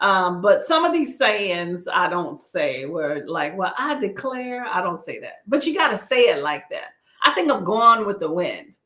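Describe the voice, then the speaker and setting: A woman with a slight Southern US accent, a fairly high pitch and a bright, sharp tone, with very wide pitch swings, big swings in loudness and hardly any pauses. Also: fairly slow pace. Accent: slight Southern inflection. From Texas. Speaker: booktuber livestream host. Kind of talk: casual livestream chat. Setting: live stream. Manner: animated.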